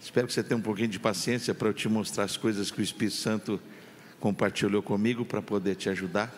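Speaking at a very fast pace, a man with a fairly low voice is heard on a very clean recording with a silent background. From Campinas, São Paulo, Brazil. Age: 50s. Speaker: pastor. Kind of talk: sermon. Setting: church. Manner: animated.

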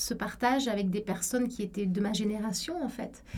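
The woman's voice is somewhat breathy, fairly high in pitch, and dark and mellow in tone. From Egypt (Cairo), French school. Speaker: law professor. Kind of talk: interview testimony.

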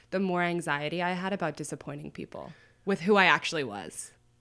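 A normal speaking voice moves at a fairly quick pace. The recording is very clean with a silent background. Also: woman. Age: 20s. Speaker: anonymous internet writer. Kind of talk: casual chat.

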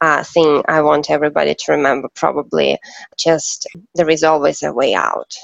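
The speaker talks at a moderate pace with a Russian accent. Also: woman. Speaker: events consultant. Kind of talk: interview. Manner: halting.

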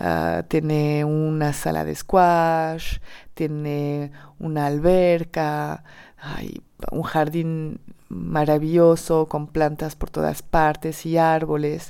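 A woman with a French accent speaks at a very slow pace in a very deep, low voice, her tone dark and mellow and her intonation flat and monotone, on a very clean recording with a silent background. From southern France, Perpignan. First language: French (speaking Spanish). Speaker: storyteller. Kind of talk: personal testimony. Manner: hesitant, many repetitions.

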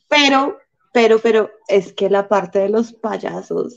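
Speaking with a Bogotá accent, a woman has a fairly high pitch. Her pace is fairly slow. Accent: Bogotá Colombian Spanish. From Colombia, Bogotá. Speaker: stand-up comedian. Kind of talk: casual chat. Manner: soft-spoken.

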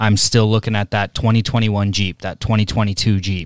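Here is a man with an unremarkable speaking voice, fairly low in pitch and at a moderate pace. The very clean recording has a silent background and a dry, close sound with no echo. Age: 30s. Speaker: podcast co-host, hockey coach. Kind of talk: casual interview. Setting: hockey training facility.

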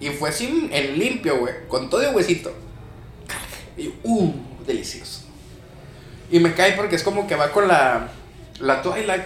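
In a room with audible echo and noticeable background noise, a man talks at a fairly slow pace with long, frequent pauses. His voice is high-pitched, with lively intonation. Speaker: podcast co-host and lightsaber combat instructor. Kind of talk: casual chat.

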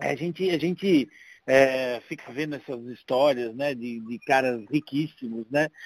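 A man at a very slow pace, in a dry, close sound with no echo. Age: 50s. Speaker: paralympic wheelchair tennis player. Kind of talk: casual chat.

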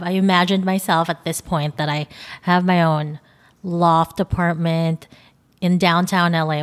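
A woman's fairly low voice with a Filipino accent, fairly even intonation and a fairly slow pace. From Philippines. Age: 20s. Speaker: podcast host and photographer. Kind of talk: solo podcast monologue. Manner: nervous at times.

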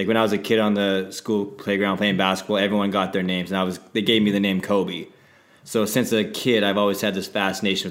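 A man with a western Canadian accent, fairly low pitch, monotone, flat intonation and a very fast pace. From Saskatchewan, Canada. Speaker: podcast co-host, entertainment entrepreneur. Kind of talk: casual chat.

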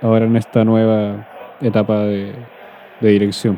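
A fairly low-pitched man in a Chilean accent, flat and monotone in intonation, with noticeable background noise. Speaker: podcast host. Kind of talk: casual chat.

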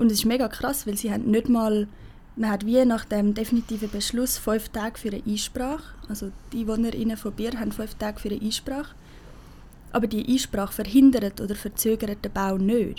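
Somewhat breathy, this woman speaks in a dark, mellow tone. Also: fairly even intonation, fairly quick pace. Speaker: climate activist. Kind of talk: casual interview.

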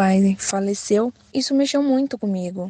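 A woman's somewhat breathy, dark, mellow tone, dry and close with no echo. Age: 20s. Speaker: poet, former inmate. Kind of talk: testimony.

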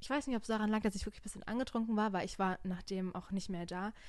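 A woman's voice at medium pitch. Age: 20s. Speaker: podcast host. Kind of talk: casual chat. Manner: animated.

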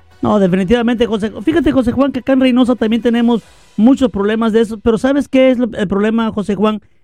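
The speech moves at a very fast pace, with a dark, mellow tone and fairly even intonation. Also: man, extremely high pitch for a man. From Veracruz, Mexico. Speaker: radio news host. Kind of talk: casual news show hosting. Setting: live online radio studio.

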